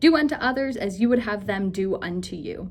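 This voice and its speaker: There's a somewhat breathy quality to this woman's voice. Her intonation is lively. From United States. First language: German. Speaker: academic advisor and incoming instructor. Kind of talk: scripted presentation.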